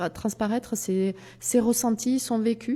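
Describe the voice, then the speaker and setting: A woman's fairly high voice with a dark, mellow tone, fairly even intonation and a fairly slow pace. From southwest France. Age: 50s. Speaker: doctor and sexologist. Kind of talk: interview. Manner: hesitant, many filler sounds.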